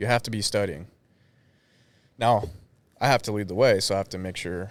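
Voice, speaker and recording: The speaker leaves long, frequent pauses on a very clean recording with a silent background. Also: man. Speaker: combat sports gym owner and coach. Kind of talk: casual chat. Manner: monotone.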